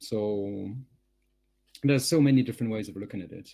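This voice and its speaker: A man with a French accent speaks in a dark, mellow tone with ordinary pitch variation. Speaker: communications professional, webinar panelist. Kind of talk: panel discussion.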